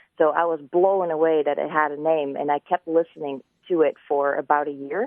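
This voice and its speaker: Talking at a fairly quick pace, a woman with a slight Dutch accent has a fairly low pitch. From Netherlands. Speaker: ASMR video creator. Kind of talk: live radio interview. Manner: soft-spoken.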